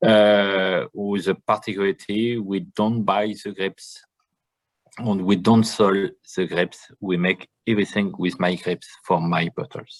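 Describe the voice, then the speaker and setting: Recorded with a dry, close sound and no echo, a man talks in a French accent. He keeps a fairly slow pace and fairly even intonation. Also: fairly low pitch for a man. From France, Champagne region. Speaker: winemaker. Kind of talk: online tasting presentation. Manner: halting.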